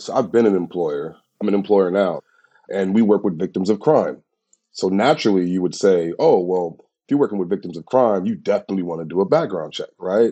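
Using an ordinary speaking voice, a man talks at a fairly quick pace and a fairly low pitch with ordinary pitch variation. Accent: American. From USA. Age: 30s. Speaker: criminal justice campaigner. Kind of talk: interview.

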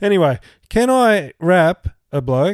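Lively intonation marks a man with an Australian accent, heard dry and close with no echo on a very clean recording with a silent background. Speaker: rugby league podcast co-host. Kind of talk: casual chat. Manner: animated.

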